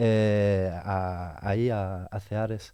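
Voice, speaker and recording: A man speaks with a dark, mellow tone. The sound is dry and close with no echo, and the background is quiet. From Belgium. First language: French (speaking Spanish). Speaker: theatre educator and venue organiser. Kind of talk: radio interview.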